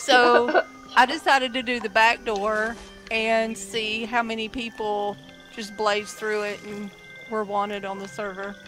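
With music in the background, a woman speaks in a Southern US accent at a fairly high pitch and fairly slow pace, her intonation fairly even but her loudness swinging widely. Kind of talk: casual gaming chat.

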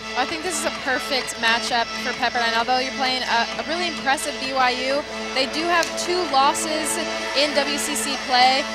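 Loud music plays in the background as a woman speaks at a moderate pace, the sound dry with no echo. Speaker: sports broadcaster. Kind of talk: play-by-play and color commentary. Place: hall. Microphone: headset.

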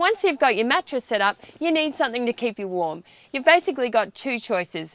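High-pitched and dry with no echo, a woman's voice swings very widely in pitch. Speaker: presenter. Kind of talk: tutorial. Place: tent.

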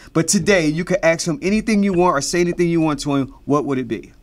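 Talking at a very fast pace, a man has a high pitch and lively intonation. His tone is animated. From US Midwest, Cincinnati; Ohio. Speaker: choreographer and web show host; web show host. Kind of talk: casual chat. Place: studio.

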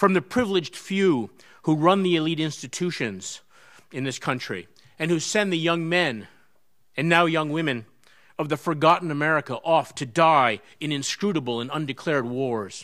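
A man talks at moderate speed with a quiet background behind him. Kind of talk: formal introduction speech. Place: hall. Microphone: podium.

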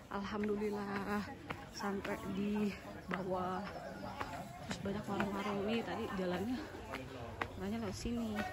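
A woman talks at a moderate pace with long, frequent pauses and ordinary pitch variation. The sound is dry with no echo, and there is loud background noise. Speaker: travel vlogger. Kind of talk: casual vlog chat. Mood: cheerful, laughing. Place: street. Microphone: phone near.

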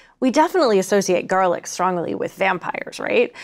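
Only a quiet background accompanies this woman's voice. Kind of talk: lecture. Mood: lively, amused. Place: studio.

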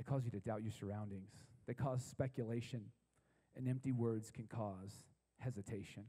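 Against a quiet background, a man with a dark, mellow tone speaks at a moderate pace, his voice somewhat breathy. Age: 30s. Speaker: pastor. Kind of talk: sermon. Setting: stage with audience. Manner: animated. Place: church. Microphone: handheld.

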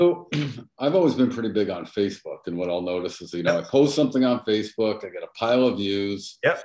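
Here is a man talking at a very fast pace with lively intonation. The background is quiet, though room echo can be heard. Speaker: real estate agent and group host. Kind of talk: interview. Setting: video call. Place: home room. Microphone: video call.

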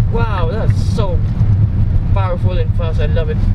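Loud noise fills the background as a man talks. No echo colors the dry sound. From Philippines. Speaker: car reviewer. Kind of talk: car review while driving. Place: car. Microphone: phone near.

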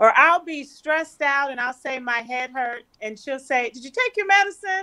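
A woman with an American accent, a bright, sharp tone and a raised, projected voice, very wide pitch swings at a moderate pace, against a quiet background. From California. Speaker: physician; panelist. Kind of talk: panel discussion. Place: home room. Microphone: webcam.

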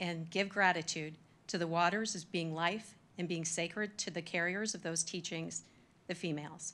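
Here is an unremarkable speaking voice from a woman. She has a fairly low pitch and a moderate pace. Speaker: facilitator. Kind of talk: formal meeting address. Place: hall. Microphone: podium.

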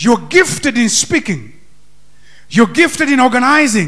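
Energetic and bright, a man's sharp-toned voice swings very widely in pitch against a quiet background. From Kenya. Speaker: pastor; preacher. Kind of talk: Sunday sermon in a Kenyan church, interactive, calling for amens and congregation input. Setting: church with congregation and microphones. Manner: energetic preacher's exhortation, rising to call-and-response; loose, conversational, switching into Swahili. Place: church. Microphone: handheld.

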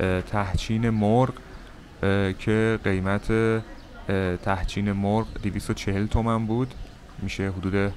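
Over light background noise, a man speaks in a fairly low voice with a monotone, flat intonation. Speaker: travel vlogger. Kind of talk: casual vlog chat. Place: cafe. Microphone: phone near.

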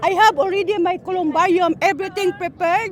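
With noticeable background noise behind her, a woman talks at a fairly quick pace with an extremely high pitch. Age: 70s. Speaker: community volunteer dancer. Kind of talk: casual interview. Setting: outdoors.

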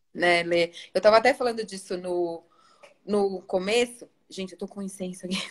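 A woman's voice at a moderate pace, fairly even intonation, quiet background. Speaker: educational psychologist and live host; live host. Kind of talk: live stream conversation. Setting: live video stream. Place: home room. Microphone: phone near.

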